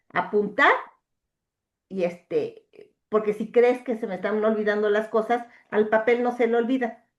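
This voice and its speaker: Fairly even intonation at a fairly slow pace, with long, frequent pauses. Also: woman, fairly high pitch for a woman. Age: 60s. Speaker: coaching client. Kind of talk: coaching session conversation. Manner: hesitant, many fillers.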